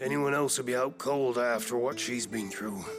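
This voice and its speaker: Over clear music in the background, a man in a put-on character voice speaks at medium pitch, moderate pace and in a calm tone. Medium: video game. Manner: calm, measured.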